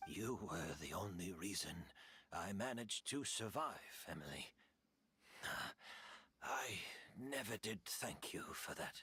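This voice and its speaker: Whispering in a put-on character voice, a man speaks at a fairly slow pace with long, frequent pauses. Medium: video game. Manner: soft-spoken, resigned.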